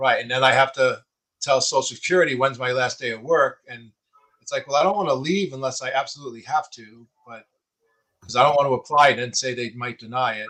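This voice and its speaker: With a New York accent, a man talks at a very fast pace in a bright, sharp tone, his medium pitch showing ordinary variation while his loudness swings widely. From Long Island, New York. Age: 60s. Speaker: person with Parkinson's and coach. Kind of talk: casual interview chat.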